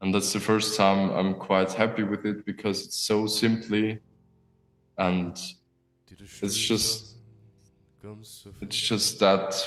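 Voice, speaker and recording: A man talks at a very slow pace in a fairly low, monotone voice with flat intonation. Long, frequent pauses come through over music in the background. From Austria. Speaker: singer-songwriter and pianist. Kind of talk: interview. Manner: halting.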